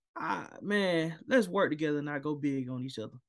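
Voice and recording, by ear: Vocal fry runs through a man's fairly high voice as he talks at a fairly quick pace with lively intonation.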